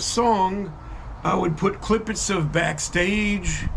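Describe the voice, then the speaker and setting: Audible room echo and noticeable background noise surround a man talking at a very slow pace with fairly even intonation. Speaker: videographer and songwriter. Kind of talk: casual monologue to camera. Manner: halting, with many fillers.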